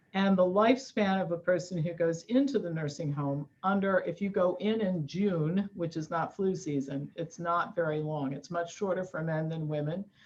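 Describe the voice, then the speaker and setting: A woman speaks at a moderate pace with ordinary pitch variation. She hardly pauses at all. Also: fairly low pitch for a woman. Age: 60s. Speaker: nutrition expert and author. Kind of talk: interview. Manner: animated.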